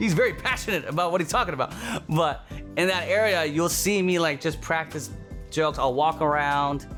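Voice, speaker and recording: Music plays behind a man with an energetic tone and a fairly high pitch. He talks at a fairly quick pace with lively intonation. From Toronto, Canada. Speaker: stand-up comedian. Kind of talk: casual interview answer. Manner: fast, energetic, comedic.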